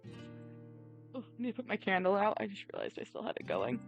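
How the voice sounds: Pitch shifts in an ordinary way as a natural reading voice goes on.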